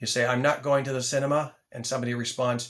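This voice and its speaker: A man speaks in a normal speaking voice at a medium pitch. His pace is fairly quick and his intonation fairly even. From Canada. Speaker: English teacher. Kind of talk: tutorial. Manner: clear enunciation.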